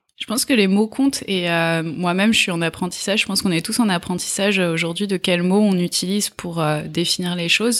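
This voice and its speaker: Speaking at a fairly quick pace with hardly any pauses, a woman uses ordinary pitch variation. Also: medium pitch for a woman. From France, Essonne (Paris region). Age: 30s. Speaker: nonprofit executive and activist. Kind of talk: interview. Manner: hesitant with fillers.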